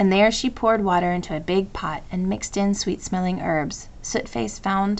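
Fairly even intonation comes through an unforced reading voice.

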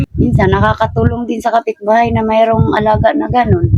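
Her fairly low voice swings very widely in pitch as this woman talks, recorded with a dry, close sound and no echo. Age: 50s. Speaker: impoverished grandmother, thatch maker. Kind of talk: interview. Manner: halting.

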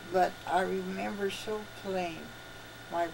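A woman talks at a fairly low pitch with vocal fry. Background noise is clearly heard.

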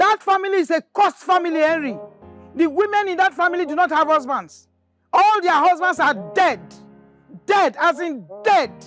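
A woman's extremely high pitch at a moderate pace, long and frequent pauses, dry sound with no echo, and faint music in the background. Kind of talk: acted drama dialogue on a phone call. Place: garden.

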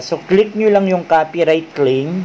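A man's fairly slow delivery, with ordinary pitch variation and light background noise. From Philippines. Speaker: YouTuber; tutorial creator. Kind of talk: tutorial. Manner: halting, with many fillers. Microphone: webcam.

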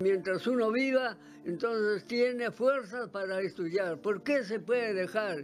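A man speaks at a fairly slow pace in a high pitch for a man, with ordinary pitch variation and faint music in the background. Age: 80s+. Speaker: industrial electronics graduate. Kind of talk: interview answer. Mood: cheerful, smiling. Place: home room. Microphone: handheld.

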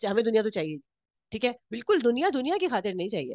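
High-pitched woman's voice, dry and close with no echo. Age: 40s. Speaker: workshop instructor. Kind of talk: workshop lecture.

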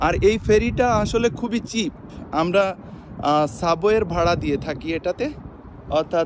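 Noticeable background noise surrounds a man with a high pitch and lively intonation, and the sound is dry with no echo. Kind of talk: casual vlog chat. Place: waterside. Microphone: phone near.

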